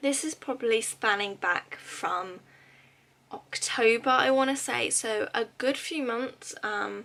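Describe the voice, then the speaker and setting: Speaking at a very slow pace with a British accent, this voice has a bright, sharp tone and lively intonation. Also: woman. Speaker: YouTuber, pin collector. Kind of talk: casual vlog haul. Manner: chatty with many fillers.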